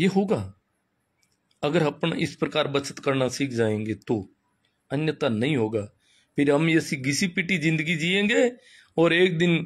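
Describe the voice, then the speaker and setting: A fairly high-pitched man with long, frequent pauses on a very clean recording with a silent background. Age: 50s. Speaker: schoolteacher and social commentator. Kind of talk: live-stream talk. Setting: Facebook live. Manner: animated.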